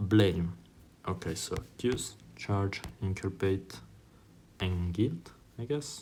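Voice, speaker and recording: Very deep and low, a man's dark, mellow, somewhat breathy voice moves at a very slow pace with long, frequent pauses and ordinary pitch variation. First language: Italian. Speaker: YouTuber doing online tests. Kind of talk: think-aloud while taking a test. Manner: halting, with many fillers.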